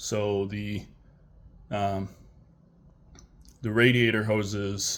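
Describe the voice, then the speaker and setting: A man talks with a fairly low pitch in a monotone, flat intonation. The recording is very clean, with a silent background. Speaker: vlogger building an off-road Jeep. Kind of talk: unscripted tutorial walkthrough. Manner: halting, with fillers and stutters.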